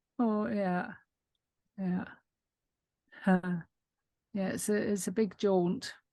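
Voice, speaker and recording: Very slow, with long, frequent pauses, a woman speaks at a medium pitch in a dark, mellow, somewhat breathy tone and fairly even intonation. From UK. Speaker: book club member. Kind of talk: casual chat.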